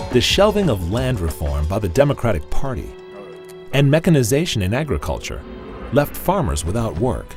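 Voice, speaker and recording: A man of medium pitch at a moderate pace, with very wide pitch swings and music in the background. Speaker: voice-over artist. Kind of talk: documentary narration.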